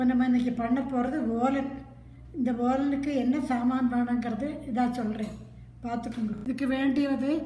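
A woman speaks in a high, monotone, flat voice, with audible room echo and light background noise. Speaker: home cook. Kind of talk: cooking demonstration. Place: home room. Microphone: phone near.

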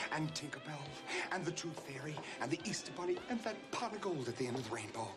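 A man at a moderate pace with clear music in the background. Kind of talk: dramatic film dialogue. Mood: gleeful, scheming excitement.

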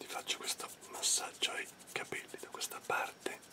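A man whispers at a moderate pace. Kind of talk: soft ASMR role-play talk. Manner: soft close ASMR murmur. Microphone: phone near.

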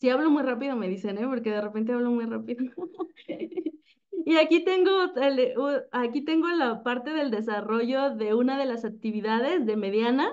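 A woman with a Mexican accent speaks at a high pitch with ordinary pitch variation. Her pace is moderate and the background is quiet. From Mexico. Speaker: teacher. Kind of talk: presentation. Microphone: video call.

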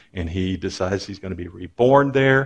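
A man's very deep, low, somewhat breathy voice with lively intonation at a moderate pace. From Texas, Waco; Texas. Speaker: religion professor. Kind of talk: lecture. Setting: stage with audience. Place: stage.

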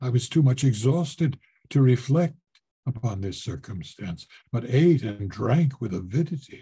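Here a man speaks at a moderate pace in a dark, mellow, somewhat breathy voice. His intonation is lively. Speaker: voice actor. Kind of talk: audiobook reading of a horror short story. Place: home room. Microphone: webcam.

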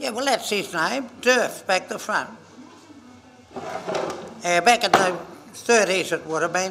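A man's raised, projected, high-pitched voice in an Australian accent, at a fairly slow pace with ordinary pitch variation, over noticeable background noise. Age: 80s+. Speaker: Men's Shed member, storyteller. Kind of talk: casual interview answer. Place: workshop.

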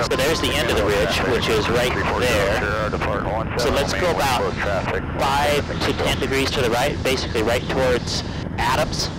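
Over loud background noise, a man talks with ordinary pitch variation in a dry sound with no echo. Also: moderate pace. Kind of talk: casual cockpit instruction. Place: plane. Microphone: headset.

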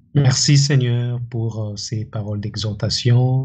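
The speech moves at a very slow pace with fairly even intonation against a quiet background. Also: man. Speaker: church member leading closing prayer. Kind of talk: prayer. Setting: church. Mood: solemn, earnest. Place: home room.

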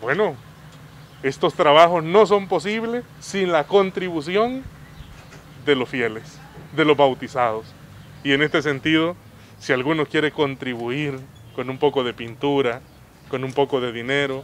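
A man talks at a fairly slow pace, with long, frequent pauses and lively intonation. The sound is dry with no echo, over light background noise. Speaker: parish priest. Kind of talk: interview answer. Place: street. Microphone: handheld.

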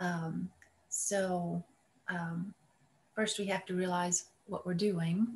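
Very slowly, a woman speaks in a fairly low, somewhat breathy voice with monotone, flat intonation. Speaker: meditation student. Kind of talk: reading aloud and discussion. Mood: thoughtful, appreciative. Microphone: video call.

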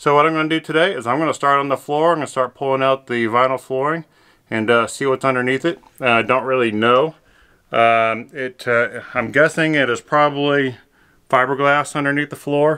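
Against a quiet background, a man talks at a fairly quick pace. His intonation stays fairly even. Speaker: vlogger doing a renovation. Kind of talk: casual vlog chat. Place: home room. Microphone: phone near.

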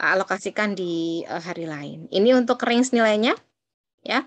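The woman talks at a moderate pace. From Banyuwangi, East Java, Indonesia; East Java, Indonesia. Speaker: university lecturer. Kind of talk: lecture. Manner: casual. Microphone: video call.

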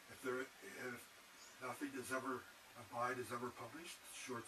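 Noticeable background noise runs throughout. A man talks at a very slow pace. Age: 70s. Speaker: vlogger. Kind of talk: casual monologue. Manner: halting.

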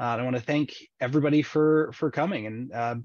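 There is an ordinary speaking voice here, a man's at medium pitch with ordinary pitch variation. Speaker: seminar moderator. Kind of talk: webinar moderation. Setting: video call.

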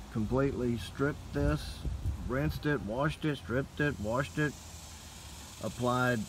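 Someone speaks at a fairly slow pace, the sound dry with no echo and noticeable background noise behind it. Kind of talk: casual vlog chat. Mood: frustrated, resigned. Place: garden. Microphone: phone near.

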